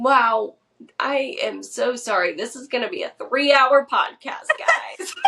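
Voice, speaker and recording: A woman with an American accent speaks very slowly in a high voice, her pitch swinging very widely. Her loudness rises and falls in big swings. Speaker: podcast co-host. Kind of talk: casual chat.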